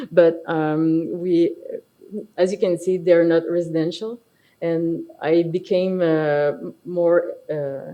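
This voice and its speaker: In a Quebec accent, a woman speaks at a very slow pace. Her pitch is fairly low and her intonation monotone and flat. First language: French. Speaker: architect and firm partner. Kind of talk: conference presentation. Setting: stage with audience. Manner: halting, many fillers.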